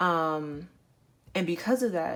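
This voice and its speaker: This is a woman with a normal speaking voice. Her pitch sits fairly low, with ordinary pitch variation. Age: 20s. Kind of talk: storytime recounting a hospital experience.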